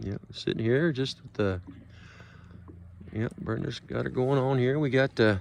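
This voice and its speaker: A man talks at a moderate pace in an unremarkable speaking voice, with ordinary pitch variation. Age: 60s. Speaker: fishing video host. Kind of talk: casual fishing vlog narration. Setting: outdoors on a boat.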